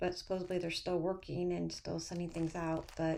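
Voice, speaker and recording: Amid noticeable background noise, a woman speaks quietly at a moderate pace. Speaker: cross-stitch video host. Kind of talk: casual chat. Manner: hesitant, many fillers.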